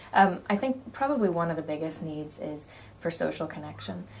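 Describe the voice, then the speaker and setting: In a room with audible echo, a woman speaks with an American accent at a very deep, low pitch. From United States. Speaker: community charity director. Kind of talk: interview. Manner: hesitant, many ums.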